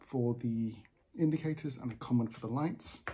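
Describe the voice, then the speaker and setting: A somewhat breathy man's voice with a dark, mellow tone, ordinary pitch variation and a moderate pace, over light background noise. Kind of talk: tutorial. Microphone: phone near.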